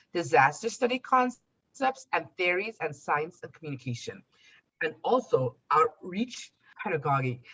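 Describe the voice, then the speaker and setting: A moderate pace in a Trinidadian accent. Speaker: podcast host. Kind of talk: podcast interview. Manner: formal.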